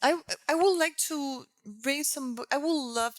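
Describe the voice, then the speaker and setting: This woman speaks with a Puerto Rican accent. Her pace is fairly slow. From Puerto Rico. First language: Spanish. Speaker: textile artist. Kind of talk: interview conversation. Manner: halting.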